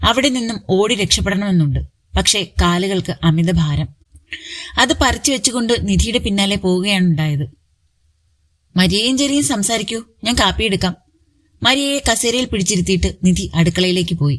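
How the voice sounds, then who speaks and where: A woman with a medium pitch speaks in an ordinary speaking voice, her intonation lively and her loudness very even. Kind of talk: romantic story narration.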